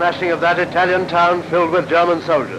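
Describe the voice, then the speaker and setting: A man with a British accent speaks at a high pitch and a fairly quick pace in a monotone, flat intonation, with noticeable background noise. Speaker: newsreel narrator. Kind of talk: 1940s cinema newsreel commentary.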